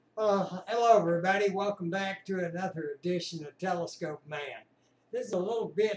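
This man's voice sits at a high pitch. There is audible room echo and light background noise. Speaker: amateur radio hobbyist. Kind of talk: casual vlog chat. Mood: cheerful, relaxed. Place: home room. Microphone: webcam.

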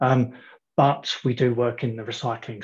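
A somewhat breathy man at a moderate pace against a quiet background. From Australia. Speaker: company CFO. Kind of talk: company presentation. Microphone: video call.

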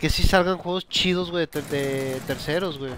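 Speaking with a Mexican accent, a man uses an animated tone, a fairly high pitch, ordinary pitch variation and a moderate pace. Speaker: gaming streamer. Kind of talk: casual chat. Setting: live stream with online party chat.

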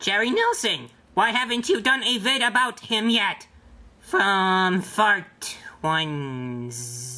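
A cartoonish character voice that sounds female. It moves at a very slow pace. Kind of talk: comic puppet vlog hosting. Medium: puppet show. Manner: enthusiastic, fannish, childishly pushy about likes; bouncy, repetitive counting.

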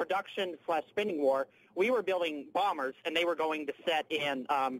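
With light background noise behind him, a man speaks at a very even loudness and ordinary pitch variation. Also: moderate pace, dry sound with no echo. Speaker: radio call-in listener. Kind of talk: call-in debate. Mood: argumentative but polite. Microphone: phone line.

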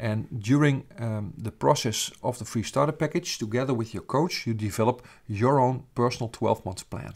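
A medium-pitched man with a Dutch accent, moderate pace, hardly any pauses and ordinary pitch variation, on a very clean recording with a silent background. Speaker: business founder and coach. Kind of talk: sales pitch. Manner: hesitant with filler sounds.

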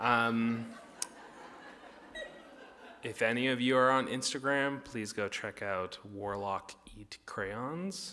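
A man speaks at medium pitch and a slow pace, his tone bright and sharp, with ordinary pitch variation and long, frequent pauses.

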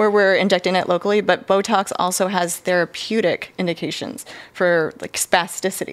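This is a woman with an American accent. She has a normal speaking voice at a medium pitch. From California, San Diego area; California. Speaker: physician associate doing cosmetic injections; guest. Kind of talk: casual chat. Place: studio. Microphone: studio mic.

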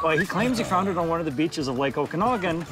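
A man's voice, dry with no echo, over clear background music. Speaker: local storyteller interviewed by host. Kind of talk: interview answer. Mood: amused, animated storytelling. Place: street.

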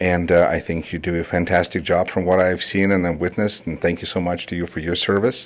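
With a Russian accent, a man speaks at a very deep, low pitch. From Russia (Moscow), in US since 1988. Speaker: public commenter, council seat candidate, speech instructor. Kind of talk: public comment at council meeting. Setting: city council chamber. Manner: hesitant, many fillers.

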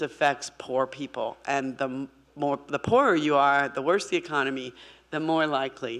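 A woman's very deep, low-pitched voice at a moderate pace. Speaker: speaker. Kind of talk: lecture. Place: hall. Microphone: podium.

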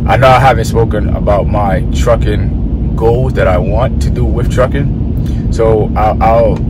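The sound is dry, with no echo. Loud noise fills the background. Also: man. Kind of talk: casual vlog chat. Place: car. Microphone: phone near.

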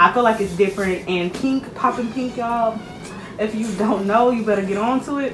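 A woman at a fairly quick pace, fairly even intonation, noticeable background noise. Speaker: shopping vlogger. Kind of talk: casual product review chat. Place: home room. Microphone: phone near.

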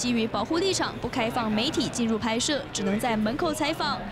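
Noticeable background noise sits behind a woman's voice. She speaks at a fairly quick pace with lively intonation. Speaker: sports news reporter. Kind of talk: TV news report.

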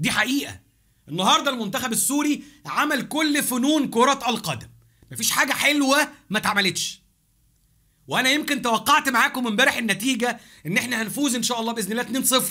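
Against a quiet background, a man with an extremely high pitch projects a raised, bright, sharp voice in an animated tone, at a moderate pace with ordinary pitch variation. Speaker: football YouTuber. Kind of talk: match review monologue. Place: home room. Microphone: studio mic.

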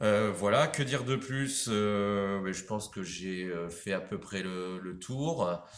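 A man's very deep, low voice at a very slow pace, with audible room echo. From France, Maine-et-Loire (Anjou); France. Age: 40s. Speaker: sponsored angler. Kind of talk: self-introduction video. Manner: hesitant, with fillers and repetitions. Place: shop. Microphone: phone near.

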